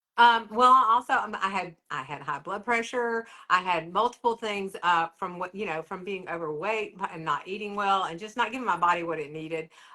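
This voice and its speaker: A woman talks at a medium pitch in a bright, sharp tone. Her loudness swings widely. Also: ordinary pitch variation, moderate pace, hardly any pauses. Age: 60s. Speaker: interviewee sharing weight loss story. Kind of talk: interview testimony.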